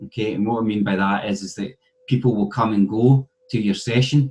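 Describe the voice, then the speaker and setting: A man with a Scottish accent speaks at a moderate pace in a medium pitch, his pitch varying in an ordinary way. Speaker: university lecturer. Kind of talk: conference presentation.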